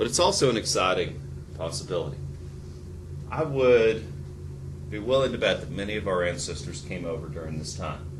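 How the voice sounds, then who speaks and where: A man with an American accent speaks in a very deep, low pitch with very wide pitch swings, at a fairly quick pace but with long, frequent pauses. Noticeable background noise and audible room echo fill the recording. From US South, rural Tennessee. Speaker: history teacher. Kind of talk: lecture. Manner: halting, many fillers.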